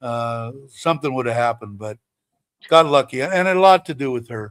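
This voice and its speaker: On a very clean recording with a silent background and a dry, close sound with no echo, a man speaks at a moderate pace and medium pitch with lively intonation. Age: 60s. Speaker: livestreamer. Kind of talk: casual chat. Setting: livestream. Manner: halting.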